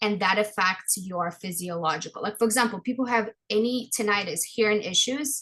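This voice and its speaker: A woman talks at a fairly quick pace with hardly any pauses. Her pitch is fairly high, with ordinary pitch variation. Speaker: orofacial myofunctional therapist, dental hygienist. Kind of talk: interview conversation. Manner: loud; animated.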